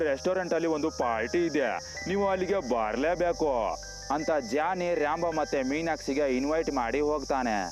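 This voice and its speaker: A man talks with a fairly high pitch that varies in an ordinary way. Music plays behind him. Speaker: voiceover narrator. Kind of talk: movie plot recap narration. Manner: casual, humorous storytelling.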